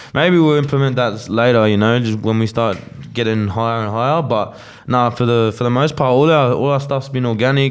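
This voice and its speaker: Over music in the background, a man with an Australian accent speaks at a medium pitch with fairly even intonation. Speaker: rapper. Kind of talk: casual interview chat.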